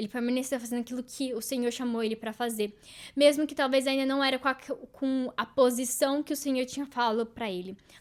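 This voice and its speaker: A woman's high-pitched voice at a fairly quick pace, intonation fairly even, on a very clean recording with a silent background. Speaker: podcast host. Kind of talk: devotional talk.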